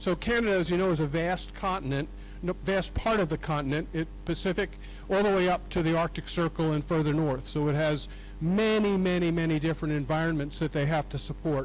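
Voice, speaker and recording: In a room with audible echo, a man speaks at a fairly quick pace and fairly high pitch, with fairly even intonation and very even loudness. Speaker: professor. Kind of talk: conference talk. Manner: halting.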